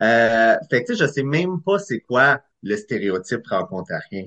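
Very slow delivery with lively intonation. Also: man. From Eastern Ontario, Clarence Creek. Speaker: screenwriter and director. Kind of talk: casual interview.

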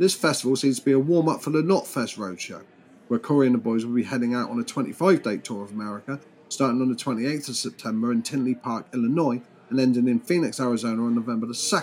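A man talks at a very fast pace with a British accent. His pitch is medium, with ordinary variation. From Britain. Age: 40s. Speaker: podcast host. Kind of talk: casual news commentary monologue.

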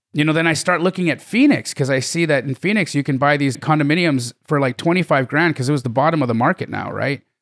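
A man's fairly high, fairly quick voice with a Canadian accent and ordinary pitch variation, dry and close with no echo. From Canada (Calgary, Alberta). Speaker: real estate investor. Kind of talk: interview. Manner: animated.

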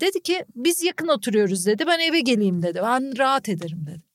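Loud and full of very wide pitch swings, a woman's voice rises and falls dramatically. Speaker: journalist and podcaster. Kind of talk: casual chat. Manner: frequent loud laughter.

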